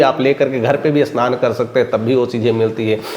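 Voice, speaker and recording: An animated male voice over noticeable background noise. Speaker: news commentator. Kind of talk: opinion commentary.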